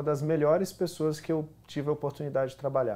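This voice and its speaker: Speech comes at a very fast pace. The man's pitch is fairly high. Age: 30s. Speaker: actor. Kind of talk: talk show interview. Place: studio. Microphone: lapel.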